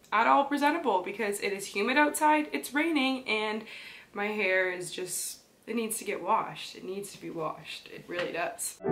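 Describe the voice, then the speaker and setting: Over clear music in the background, a woman with a fairly high pitch speaks at a moderate pace, her loudness swinging a lot and her pitch swinging very widely. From Canada. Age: 20s. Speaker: fashion vlogger. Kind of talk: casual talk to camera. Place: home room.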